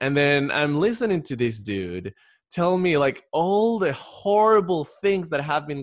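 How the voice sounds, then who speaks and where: Speaking with a Spanish accent at a fairly slow pace, a man lets his pitch swing very widely. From Ecuador. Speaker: podcast host. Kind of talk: casual interview chat.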